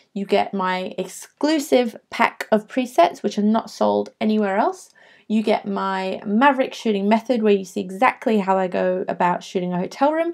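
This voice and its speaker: A woman with an English accent, medium in pitch, at a moderate pace with lively intonation and hardly any pauses. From England. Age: 20s. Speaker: travel photographer. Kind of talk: webinar sales pitch. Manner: hesitant fillers.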